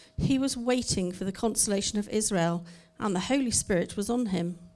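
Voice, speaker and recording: A woman speaks at a fairly quick pace in an unremarkable speaking voice, with a medium pitch and ordinary pitch variation. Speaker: scripture reader. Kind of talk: reading aloud. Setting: church.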